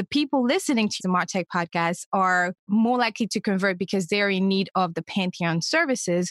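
A woman talks with a French accent and ordinary pitch variation. The sound is dry and close with no echo, on a very clean recording with a silent background. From Senegal. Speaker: digital media manager. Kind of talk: interview. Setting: podcast.

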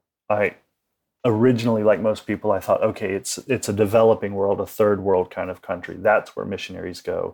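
On a very clean recording against a silent background, the speaker talks fairly quickly in an American accent. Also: man. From United States. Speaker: missionary. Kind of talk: interview.

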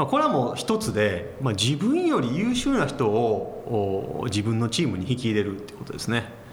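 Moderate pace and hardly any pauses from a man, with noticeable background noise. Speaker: company president. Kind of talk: interview. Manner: calm, matter-of-fact.

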